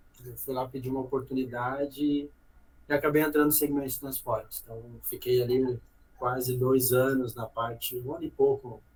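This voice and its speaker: At a moderate pace and medium pitch, a man talks in a flat monotone that is somewhat breathy, with big swings in loudness. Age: 30s. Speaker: logistics executive. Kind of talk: podcast interview.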